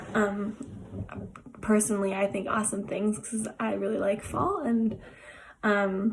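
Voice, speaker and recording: A woman at medium pitch speaks fairly slowly with long, frequent pauses against noticeable background noise. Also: fairly even intonation. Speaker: art therapist. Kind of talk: tutorial. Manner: hesitant with many fillers.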